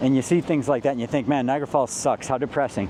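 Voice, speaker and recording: A man talks at a fairly high pitch. Noticeable background noise can be heard. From western New York. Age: 50s. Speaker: travel vlogger. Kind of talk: vlog narration to camera. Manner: casual, animated.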